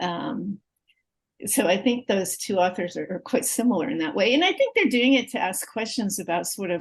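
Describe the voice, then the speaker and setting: A woman of medium pitch, somewhat breathy, talks at a fairly slow pace. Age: 60s. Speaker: literature professor. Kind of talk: interview conversation.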